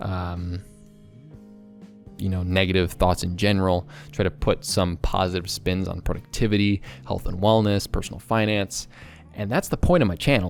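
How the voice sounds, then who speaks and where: A man speaks with a very deep, low pitch and ordinary pitch variation over music in the background. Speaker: productivity and self-development YouTuber. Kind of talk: casual talk to camera. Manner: fast, talkative.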